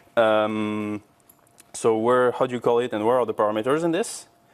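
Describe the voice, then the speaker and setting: A man with a non-native accent at a moderate pace. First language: not English. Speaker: teaching assistant. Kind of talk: lecture. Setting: classroom with mic. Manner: halting, many fillers.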